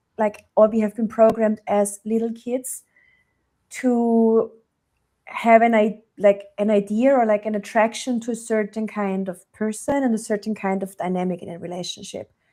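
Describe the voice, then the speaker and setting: Fairly high in pitch with a dark, mellow tone, a woman with a German accent speaks at a moderate pace with fairly even intonation. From Germany. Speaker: relationship coach. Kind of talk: podcast interview.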